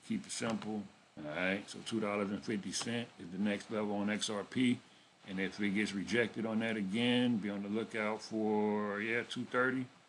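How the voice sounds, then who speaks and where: A man talks in a fairly low voice with monotone, flat intonation. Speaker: crypto trading youtuber. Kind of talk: casual chart analysis tutorial. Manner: fast; casual.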